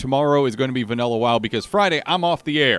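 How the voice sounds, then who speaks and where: Speaking at a very fast pace, a man uses medium pitch and lively intonation. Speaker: video game streamer. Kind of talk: casual livestream chat. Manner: loud and clear.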